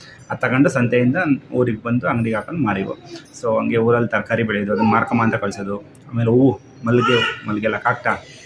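A man talks at a medium pitch, varying it in an ordinary way, while noticeable noise runs in the background. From Karnataka, Mandya region village. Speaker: family vlogger. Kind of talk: casual family vlog chat.

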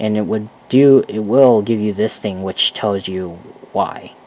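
A quiet man speaks at a very slow pace with a fairly low pitch and fairly even intonation. Noticeable background noise is present. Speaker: gaming tutorial video creator. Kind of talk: tutorial. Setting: headset mic at a computer. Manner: rambling, casual.

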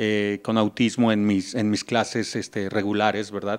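A man is talking at a moderate pace. Behind him the background stays quiet. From Mexico. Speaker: music teacher. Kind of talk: interview. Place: classroom. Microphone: handheld.

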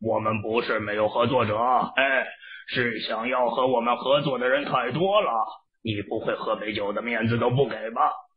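A man speaks at a moderate pace and a medium pitch. His intonation stays fairly even. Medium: audio drama. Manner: smug, pushy, wheedling.

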